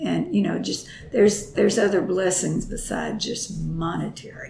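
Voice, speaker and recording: With a Texan accent, a woman speaks amid noticeable background noise and audible room echo. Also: moderate pace. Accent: Texas Southern. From Texas. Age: 80s+. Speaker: grandmother interviewed about her life. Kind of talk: oral history interview. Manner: halting.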